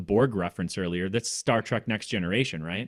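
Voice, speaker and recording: A man talks at a fairly quick pace with ordinary pitch variation in a plain, everyday voice. The sound is dry and close, with no echo. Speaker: podcast co-host. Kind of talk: casual interview conversation.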